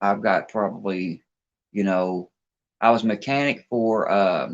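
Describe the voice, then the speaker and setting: Against a quiet background, a man with an American accent talks at a fairly slow pace, with a fairly low pitch and fairly even intonation. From Kentucky, Louisville. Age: 40s. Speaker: fishing livestreamer, former mechanic. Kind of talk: casual chat. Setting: outdoors.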